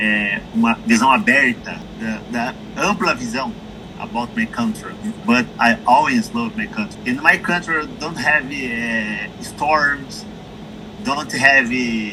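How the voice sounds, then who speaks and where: Very slow speech from a man whose pitch swings very widely, over noticeable background noise. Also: medium pitch for a man. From Brazil. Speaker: interview guest. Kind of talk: interview. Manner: halting.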